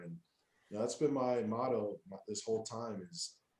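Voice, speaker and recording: This man has an ordinary speaking voice with ordinary pitch variation. He talks at a fairly quick pace. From Wyoming, US. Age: 20s. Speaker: college football player. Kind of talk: interview.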